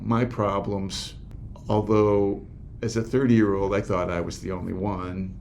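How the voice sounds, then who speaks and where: A man speaks at a fairly low pitch in a dark, mellow tone with fairly even intonation. The pace is very slow, and there is audible room echo. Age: 60s. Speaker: men's group facilitator. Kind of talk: interview. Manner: halting.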